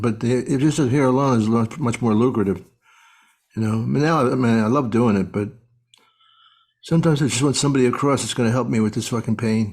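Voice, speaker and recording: Very fast and deadpan, a man with an American accent speaks on a very clean recording with a silent background. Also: medium pitch for a man. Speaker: stand-up comedian. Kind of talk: podcast conversation. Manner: casual, deadpan.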